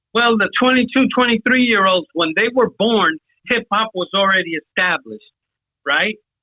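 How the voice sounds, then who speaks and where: The speaker talks at a moderate pace with a New York accent. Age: 60s. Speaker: hip hop pioneer, old school rapper. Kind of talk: casual chat. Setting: phone call.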